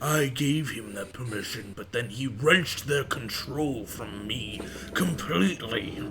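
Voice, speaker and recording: Against clear background noise, a man speaks in a put-on character voice of medium pitch at a fairly slow pace. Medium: actual play. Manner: pompous, condescending.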